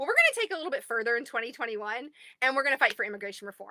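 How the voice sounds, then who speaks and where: A woman with a Southern US accent speaks in an animated, bright, sharp tone. Her pitch is fairly high, with ordinary pitch variation. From US South. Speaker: advocacy group admin. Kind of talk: livestream address to group members. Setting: recording in a closet at home.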